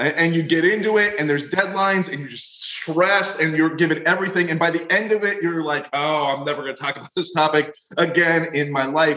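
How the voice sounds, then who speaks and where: A man's fairly high-pitched voice with ordinary pitch variation, an ordinary speaking voice. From Pennsylvania, US (Wilkes-Barre). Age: 40s. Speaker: leadership professor and author. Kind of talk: interview podcast.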